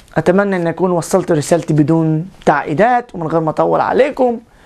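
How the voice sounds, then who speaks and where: Against noticeable background noise, a woman speaks at a fairly slow pace with very wide pitch swings. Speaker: video blogger. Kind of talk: political commentary monologue. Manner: animated.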